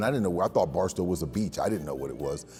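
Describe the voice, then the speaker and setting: A man with a resonant voice speaks in a lively, varied intonation over music in the background. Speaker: voice actor. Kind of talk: interview answer. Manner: speech impediment.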